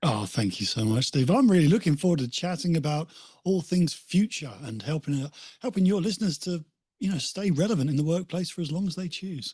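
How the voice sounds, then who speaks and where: Pitched high, a man with a British accent speaks at a fairly quick pace, his tone dark and mellow and his intonation lively. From England, Essex coast (Walton on the Naze). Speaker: motivational speaker and author. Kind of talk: podcast interview.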